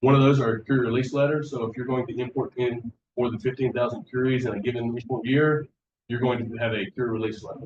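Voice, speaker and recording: Somewhat breathy and very fast, a man speaks at medium pitch in a monotone, flat delivery. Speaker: waste disposal facility staff presenter. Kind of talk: workshop presentation.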